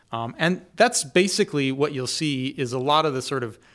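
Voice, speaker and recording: A man with an American accent and an unremarkable speaking voice talks at medium pitch and a moderate pace, with ordinary pitch variation, in a very clean recording with a silent background. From US Pacific Northwest, Seattle suburbs. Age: 40s. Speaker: theology professor. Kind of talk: podcast interview.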